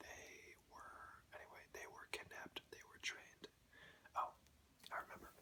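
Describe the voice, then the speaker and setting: Whispering at a moderate pace, a man speaks with big swings in loudness and long, frequent pauses. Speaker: ASMR creator. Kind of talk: ASMR show and tell. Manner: whispered.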